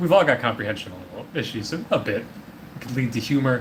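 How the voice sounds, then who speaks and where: The man's speech runs at a fairly quick pace with ordinary pitch variation. Room echo can be heard. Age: 20s. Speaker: streamer. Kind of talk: solo tier list commentary. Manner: fast; halting.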